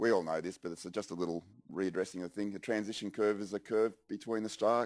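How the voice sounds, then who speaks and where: Speaking very fast at a fairly low pitch, a man with an Australian accent is heard on a very clean recording with a silent background. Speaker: software engineer presenter. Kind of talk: conference presentation. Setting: conference stage with audience.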